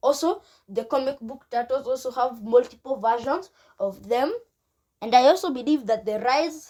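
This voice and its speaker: Using lively intonation, a woman speaks at a high pitch with a dark, mellow tone. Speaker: YouTuber explaining fan theory. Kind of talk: video monologue. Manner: halting.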